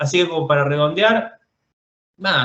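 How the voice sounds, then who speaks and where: A man's voice with ordinary pitch variation. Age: 40s. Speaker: film director. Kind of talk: interview. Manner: halting, with frequent repetitions.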